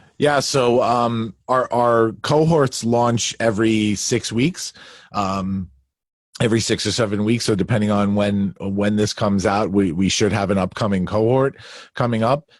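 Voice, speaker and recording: A man's fairly low voice at a fairly slow pace, with ordinary pitch variation and very even loudness, in a very clean recording with a silent background. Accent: Long Island. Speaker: leadership coach. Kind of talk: interview. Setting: home basement.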